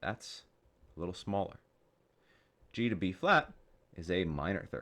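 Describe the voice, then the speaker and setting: A man with a very deep, low pitch but a bright, sharp tone speaks at a moderate pace with ordinary pitch variation. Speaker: music teacher. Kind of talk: soft-spoken ASMR music theory tutorial. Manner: soft-spoken.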